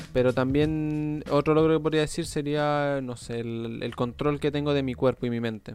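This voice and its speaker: Man with a Chilean accent at a moderate pace, fairly even intonation and hardly any pauses, with music in the background. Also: fairly high pitch for a man. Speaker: podcast host interviewing athletes. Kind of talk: casual interview chat.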